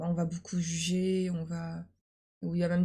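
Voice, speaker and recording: At a moderate pace, a woman with a fairly low pitch speaks in a dark, mellow, somewhat breathy tone with monotone, flat intonation. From France. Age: 20s. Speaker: university student. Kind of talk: casual chat. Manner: halting.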